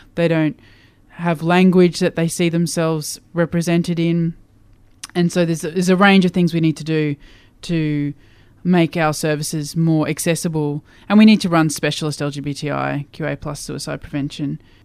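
With an Australian accent, this speaker's words come at a moderate pace. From Queensland, Australia. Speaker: LGBTIQA+ community leader. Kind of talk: interview.

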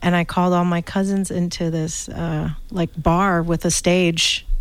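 With an American accent, a woman talks at a moderate pace and medium pitch on a very clean recording with a silent background. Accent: American-sounding. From Thailand (Bangkok), international school. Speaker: comedian. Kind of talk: casual chat. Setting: radio studio.

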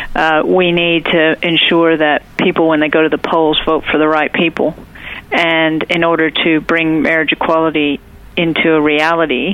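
A woman with an American accent speaks at a moderate pace in a fairly low pitch. Her intonation is monotone and flat, with noticeable background noise behind her. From United States. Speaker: state politician. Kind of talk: interview. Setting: phone call.

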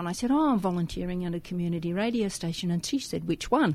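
A woman with an Australian accent, very fast pace and very wide pitch swings. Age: 60s. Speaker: radio volunteer. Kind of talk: casual chat. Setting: studio.

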